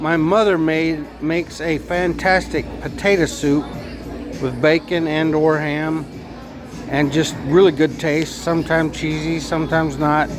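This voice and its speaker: Over noticeable background noise and audible room echo, a man talks fairly slowly at a fairly high pitch with monotone, flat intonation. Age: 60s. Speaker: food vlogger. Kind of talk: casual vlog monologue. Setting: restaurant. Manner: rambling, halting with fillers.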